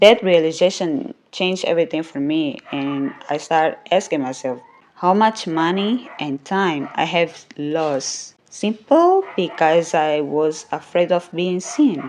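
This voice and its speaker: A woman with a non-native accent, fairly low in pitch, speaking at a very slow pace with hardly any pauses and ordinary pitch variation. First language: not English. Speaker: podcast host and YouTuber. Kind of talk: motivational monologue.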